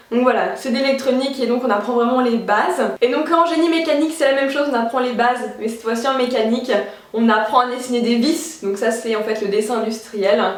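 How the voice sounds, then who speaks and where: A woman with a high pitch talks at a fairly quick pace in an animated tone with ordinary pitch variation, amid noticeable background noise and audible room echo. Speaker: youtuber, student. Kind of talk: vlog, casual talk to camera. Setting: apartment, window closed. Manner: fast.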